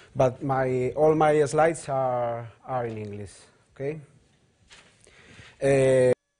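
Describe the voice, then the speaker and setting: A man with a Spanish accent speaks at a medium pitch with fairly even intonation. His pace is very slow, with long, frequent pauses. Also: big swings in loudness. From Spain. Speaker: road safety trainer and psychologist; presenter. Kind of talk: conference presentation. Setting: hybrid conference in Madrid. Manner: halting. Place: hall. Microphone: podium.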